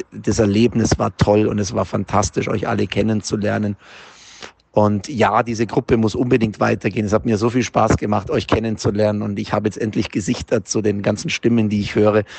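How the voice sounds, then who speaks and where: The speaker talks at a fairly quick pace with a monotone, flat intonation. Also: man, fairly low pitch for a man. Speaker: football fan. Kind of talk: voice message. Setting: in a car.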